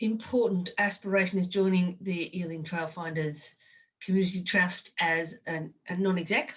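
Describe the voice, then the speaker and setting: An Australian accent marks this woman's speech. She talks fairly slowly. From Australia, rural New South Wales. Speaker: rugby administrator and leadership consultant. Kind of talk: podcast interview. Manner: halting.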